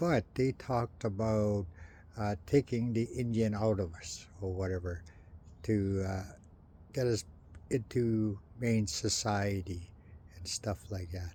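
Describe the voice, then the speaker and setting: The voice is somewhat breathy with a dark, mellow tone, moving at a very slow pace with ordinary pitch variation. Long, frequent pauses break it up, and the recording is very clean with a silent background. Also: man, fairly low pitch for a man. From Canada, First Nations. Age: 60s. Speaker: residential school survivor vlogger. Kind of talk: personal monologue vlog. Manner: halting, many fillers.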